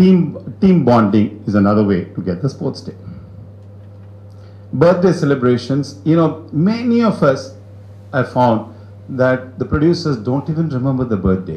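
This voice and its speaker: Pausing long and often, a man speaks at a moderate pace and a medium pitch, his pitch swinging very widely. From India, Chennai. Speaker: business owner, guest speaker. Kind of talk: talk to business audience.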